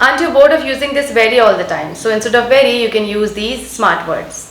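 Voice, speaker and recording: A woman with an Indian accent speaks at a fairly quick pace in a high pitch with fairly even intonation. Noticeable background noise is present. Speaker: English teacher. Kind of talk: English lesson talk to camera.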